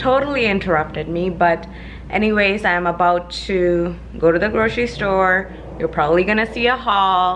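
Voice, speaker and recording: With ordinary pitch variation and a normal speaking voice, the speaker talks at a fairly slow pace over light background noise. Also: woman. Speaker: vlogger. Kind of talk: casual vlog chat. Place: home room.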